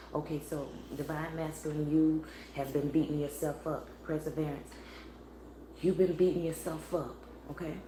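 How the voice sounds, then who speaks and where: A woman talks at a moderate pace in a very deep, low voice, her intonation monotone and flat. Long, frequent pauses break her speech, with audible room echo and noticeable background noise. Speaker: spiritual tarot reader. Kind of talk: live tarot reading stream. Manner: low, quiet voice; casual, meandering.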